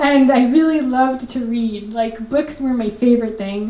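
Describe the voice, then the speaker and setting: A woman with a New York accent and a high pitch talks fairly slowly with ordinary pitch variation, noticeable background noise behind her. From Richmond Hill, Queens, New York City. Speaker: socially engaged artist, educator. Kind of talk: live storytelling performance. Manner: casual, conversational.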